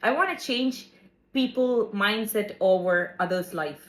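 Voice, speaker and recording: A woman's fairly high voice in a non-native accent, with lively intonation and a fairly slow pace. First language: not English. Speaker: podcast co-host. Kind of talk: casual chat.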